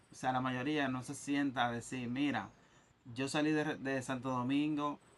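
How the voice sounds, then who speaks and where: A man speaks in a medium pitch with monotone, flat intonation. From Dominican Republic. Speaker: podcast host. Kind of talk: casual interview chat.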